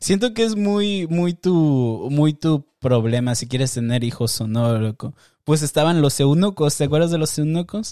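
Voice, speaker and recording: A man with a dark, mellow tone and a fairly high pitch speaks at a fairly slow pace with lively intonation in a very clean recording with a silent background. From Mexico, Tijuana border. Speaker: podcast host. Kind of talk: casual monologue with video reactions.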